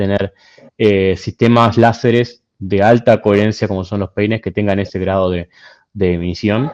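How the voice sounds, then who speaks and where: With a slight Argentine accent, a man talks at a fairly slow pace in a fairly low pitch, his intonation fairly even and the sound dry and close with no echo. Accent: slightly Argentine. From Argentina, Buenos Aires. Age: young. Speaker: physicist, invited speaker. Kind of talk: Q&A after a lecture. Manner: halting, many fillers.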